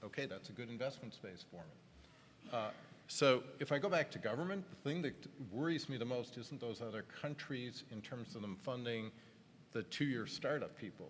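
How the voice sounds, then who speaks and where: Lively intonation and a moderate pace from a man with an unremarkable speaking voice. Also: medium pitch for a man. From Canada. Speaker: tech industry executive on a panel. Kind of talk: panel discussion.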